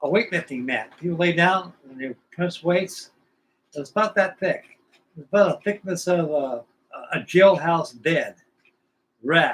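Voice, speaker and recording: Speaking with an American accent, a man in a high pitch moves at a fairly slow pace, with ordinary pitch variation, big swings in loudness and long, frequent pauses. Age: 80s+. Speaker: scale model builder streamer. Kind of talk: casual livestream chat. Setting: live stream. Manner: rambling, colloquial storytelling.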